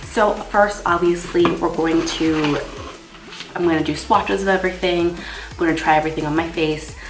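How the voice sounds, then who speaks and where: Noticeable background noise and audible room echo accompany a woman's voice. She speaks at a moderate pace with ordinary pitch variation. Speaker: makeup artist and beauty vlogger. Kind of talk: makeup tutorial. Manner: casual, chatty.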